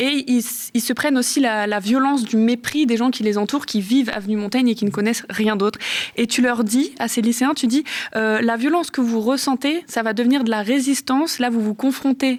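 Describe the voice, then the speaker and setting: Against noticeable background noise, a woman speaks at a fairly quick pace. Her high pitch shows ordinary pitch variation. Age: 20s. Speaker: interviewer. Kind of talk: interview.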